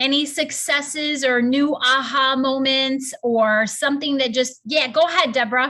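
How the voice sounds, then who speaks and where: A woman speaks in a high, raised, projected voice. She hardly pauses at all. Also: moderate pace, very even loudness. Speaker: wellness coach. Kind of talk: group coaching call. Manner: animated.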